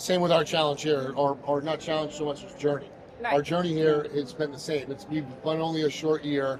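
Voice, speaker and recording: There is noticeable background noise as a man talks at a fairly quick pace. His pitch is fairly high, and his intonation is fairly even. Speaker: chef and podcast host. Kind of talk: interview question.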